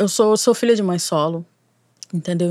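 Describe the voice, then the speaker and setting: Medium in pitch, a woman's speech carries ordinary pitch variation in an unremarkable speaking voice. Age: 30s. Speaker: cyberactivist and screenwriting student. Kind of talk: casual chat.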